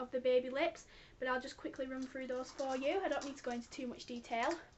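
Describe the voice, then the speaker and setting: A woman speaks at a high pitch. Noticeable background noise runs beneath her. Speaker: beauty vlogger. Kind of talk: product review vlog. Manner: fast.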